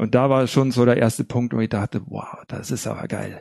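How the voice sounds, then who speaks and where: A man speaks at a fairly quick pace in a dark, mellow tone. His intonation is monotone and flat. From Bavaria (Hallertau, Upper Bavaria). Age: 40s. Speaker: recovering alcoholic, music therapist and researcher. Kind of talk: personal testimony in interview.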